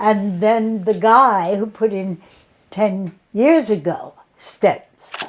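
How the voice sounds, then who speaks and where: A woman with an American accent speaks at a very slow pace. Her voice is fairly high, with ordinary pitch variation. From Boston, US. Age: 90s. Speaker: comedian. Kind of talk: casual interview chat.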